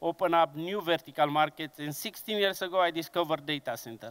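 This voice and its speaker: Pitched high, a man speaks in a Romanian accent with fairly even intonation. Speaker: conference speaker, engineering business director. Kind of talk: conference presentation. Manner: slow, deliberate; hesitant with fillers.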